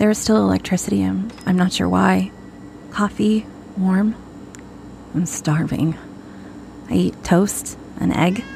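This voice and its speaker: A woman talks with very wide pitch swings and very even loudness, leaving long, frequent pauses. Noticeable background noise runs underneath. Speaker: audio drama narrator. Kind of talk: found-audio horror narration, intimate diary-style monologue. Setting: audio diary recorded into a recorder. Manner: hushed, halting and dread-filled, with uneasy pauses and self-corrections.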